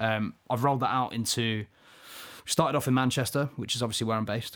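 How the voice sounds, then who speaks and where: A man with an English accent talks at a very fast pace in a fairly low pitch with fairly even intonation. The recording is very clean, with a silent background. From England. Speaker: podcast co-host. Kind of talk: casual chat.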